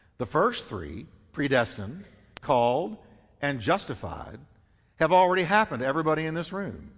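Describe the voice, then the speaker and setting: A man with a fairly high voice and vocal fry speaks fairly quickly, his pitch swinging very widely between long, frequent pauses. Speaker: pastor. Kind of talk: sermon; call-and-response preaching, prompting congregation to say amen. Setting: church. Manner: rhetorical questions answered in quick succession, teaching cadence; repetitive, emphatic, with light humor.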